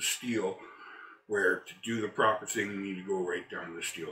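Audible room echo surrounds the man as he speaks. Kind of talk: tutorial. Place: garage. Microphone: phone near.

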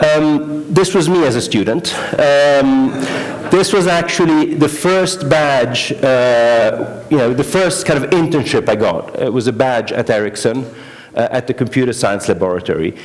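Fairly slow man's voice with lively intonation. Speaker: conference speaker. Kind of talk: conference talk. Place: hall.

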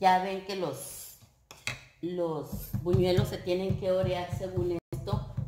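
A woman speaks at a very slow pace with a fairly low pitch. Her intonation is fairly even, with noticeable background noise. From northern Mexico, Coahuila. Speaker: home cooking youtuber. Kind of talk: cooking tutorial. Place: kitchen. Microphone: camera far.

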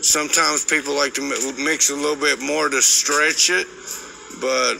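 A man is talking, with light background noise behind him. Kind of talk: casual vlog chat explaining mixing coatings. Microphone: phone near.

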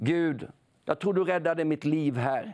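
A dark, mellow tone at a very slow pace against a quiet background. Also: man. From Sweden, Småland (Nybro area); Småland, Sweden. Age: 60s. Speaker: preacher. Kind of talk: sermon. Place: studio. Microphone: lapel.

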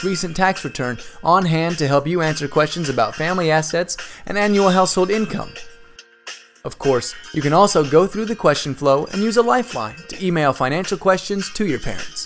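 Over background music, a man with a high-pitched voice talks at a fairly quick pace with lively intonation. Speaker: voice-over artist. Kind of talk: explainer video narration.

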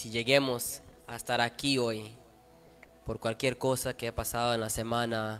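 With faint music in the background, a man speaks at a very slow pace in a monotone, flat intonation. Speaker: preacher at youth service. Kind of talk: sermon. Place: church. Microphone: handheld.

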